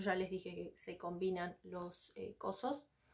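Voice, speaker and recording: A woman with a Rioplatense accent speaks in an animated tone. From Argentina. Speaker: book vlogger. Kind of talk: casual vlog monologue. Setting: sitting on the floor of her home library.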